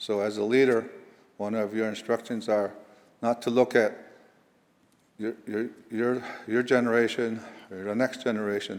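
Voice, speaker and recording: Long, frequent pauses break up a man's monotone, flat delivery in an American accent at a medium pitch and moderate pace. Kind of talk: invocation address. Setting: legislative chamber. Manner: halting.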